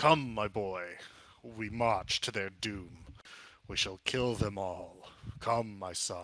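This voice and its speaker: The speaker puts on a character voice. The pace is very slow. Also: man, fairly low pitch for a man. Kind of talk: archaic, heroic. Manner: shouting, rallying.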